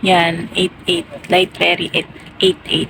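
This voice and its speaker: Monotone, flat intonation at a very slow pace, amid noticeable background noise. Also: woman. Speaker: vlogger. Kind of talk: casual vlog. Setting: late night at home, then at ferry pier; at the pier. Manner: quiet, speaking softly.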